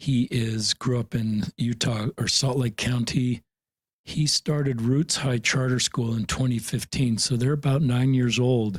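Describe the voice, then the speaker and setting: Recorded dry and close with no echo, a somewhat breathy man speaks at a fairly slow pace and medium pitch, with fairly even intonation and very even loudness. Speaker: podcast host. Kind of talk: podcast interview.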